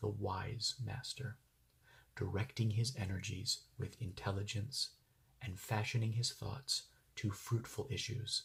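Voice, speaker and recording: Soft-spoken and somewhat breathy, a man talks at a fairly slow pace and medium pitch. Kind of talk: ASMR book reading.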